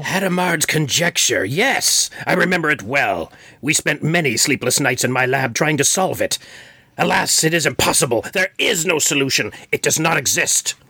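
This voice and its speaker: A man puts on a character voice, fairly high in pitch, with lively intonation at a moderate pace. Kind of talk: comic-book villain overacting. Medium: read story. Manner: pompous, theatrical.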